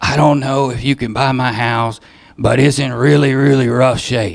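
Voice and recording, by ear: Putting on a raspy character voice, a man speaks at a moderate pace and medium pitch with fairly even intonation.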